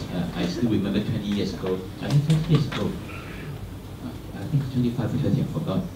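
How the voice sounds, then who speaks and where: The delivery is fairly quick, with lively intonation. Audible room echo and noticeable background noise fill the recording. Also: man. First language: Cantonese. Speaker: senior pastor. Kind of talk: speech at a round table meeting. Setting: meeting with audience. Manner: halting, many repetitions and fillers.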